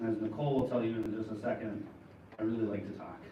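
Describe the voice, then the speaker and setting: Over noticeable background noise and audible room echo, a man with an American accent talks at a very fast pace with fairly even intonation. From Minnesota. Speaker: police officer. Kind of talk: community seminar presentation. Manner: talkative.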